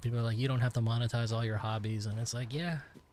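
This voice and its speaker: Over noticeable background noise, a man of medium pitch speaks with an American accent in a flat, monotone way. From United States. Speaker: gaming streamer. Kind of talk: casual live-stream chat. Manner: rambling, halting with many fillers.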